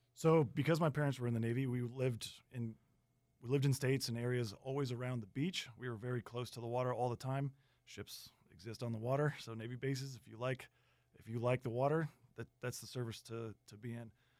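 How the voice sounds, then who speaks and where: Fairly quick delivery in an unremarkable speaking voice, with big swings in loudness and fairly even intonation. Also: man, medium pitch for a man. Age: 30s. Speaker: navy weather specialist. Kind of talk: radio interview.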